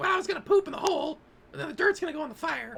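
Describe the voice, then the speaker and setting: A put-on character voice pitched extremely high. It races along at a very fast pace. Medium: actual play. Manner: blunt, indignant.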